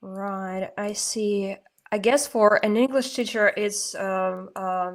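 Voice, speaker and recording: A woman with a Russian accent speaks very slowly at a medium pitch, her intonation fairly even. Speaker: podcast host. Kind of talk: interview. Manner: halting.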